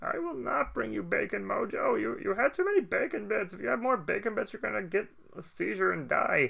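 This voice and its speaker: A man in a whiny, put-on character voice, high-pitched and fairly quick. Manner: goofy, whiny.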